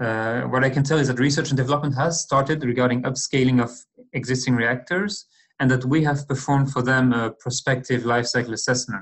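A man at a fairly quick pace, very even loudness and fairly even intonation, quiet background. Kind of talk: lecture. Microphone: webcam.

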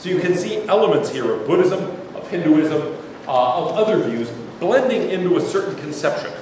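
A man with a high pitch speaks at a moderate pace, his voice swinging very widely, with strong room echo and light background noise. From Pittsburgh, US. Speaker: philosophy professor. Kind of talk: lecture. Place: hall.

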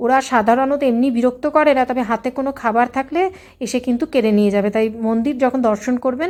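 Her pitch is high for a woman. This woman's pitch variation is ordinary. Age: middle-aged. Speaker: travel vlogger. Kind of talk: travel vlog narration. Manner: casual, filler-heavy.

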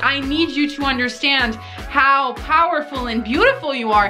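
A raised, projected voice carries over clear music in the background. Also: woman, ordinary pitch variation, moderate pace. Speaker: vlogger. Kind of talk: casual motivational vlog chat.

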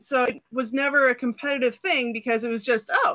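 A woman's high-pitched voice over a quiet background. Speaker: interview guest. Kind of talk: interview answer. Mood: cheerful, laughing at times. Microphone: video call.

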